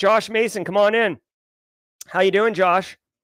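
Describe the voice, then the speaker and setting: A man speaks loudly in a high pitch. The sound is dry and close with no echo, on a very clean recording with a silent background. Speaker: conference organizer and livestream host. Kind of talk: livestream meeting. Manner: animated.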